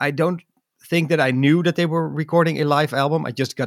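A man with a Dutch accent speaks at a fairly quick pace in a dry, close sound with no echo, on a very clean recording with a silent background. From Netherlands. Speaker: podcaster and music fan. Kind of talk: casual chat. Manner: halting, many fillers.

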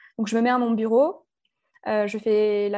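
A woman speaks at a moderate pace in a medium pitch, her tone dark and mellow. Her intonation stays fairly even against a quiet background. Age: 20s. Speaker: wedding photographer. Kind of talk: casual chat.

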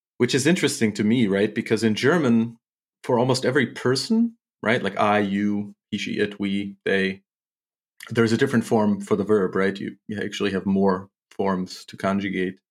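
Intonation is fairly even. The speaking pace is moderate. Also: man, fairly low pitch for a man, very clean recording, silent background. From US Midwest, St. Louis, Missouri. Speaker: English teacher. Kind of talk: casual interview.

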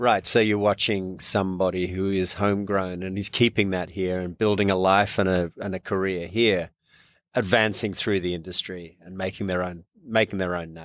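In a very clean recording with a silent background, a man with an Australian accent speaks in a very deep, low pitch and a monotone, flat intonation. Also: moderate pace. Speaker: magazine publisher and podcast host. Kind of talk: casual interview. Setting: studio.

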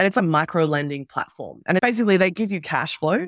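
On a very clean recording with a silent background and a dry, close sound with no echo, a woman with an Australian accent talks at a very fast pace with lively intonation. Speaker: entrepreneur and former journalist. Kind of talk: interview.

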